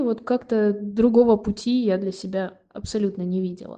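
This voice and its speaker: A woman talks in a normal speaking voice. Her fairly high pitch moves with ordinary variation. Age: 20s. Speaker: conservatory violin student. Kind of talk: read-out personal story.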